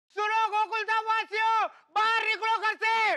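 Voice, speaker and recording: A put-on character voice shouts loudly at an extremely high pitch. The delivery is fairly slow, with monotone, flat intonation. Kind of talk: colloquial Hindi. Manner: shouting, calling out loudly.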